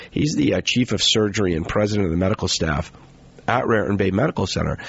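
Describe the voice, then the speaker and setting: A man races along very fast amid noticeable background noise. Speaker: radio host. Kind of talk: radio show introduction. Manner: many fillers and repetitions.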